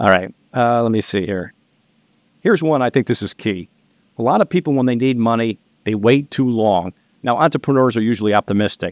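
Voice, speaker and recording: At a medium pitch with ordinary variation, a man speaks at a fairly quick pace with long, frequent pauses, in a dry, close sound with no echo and a quiet background. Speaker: loan and business finance advisor. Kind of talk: casual podcast interview. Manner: fast.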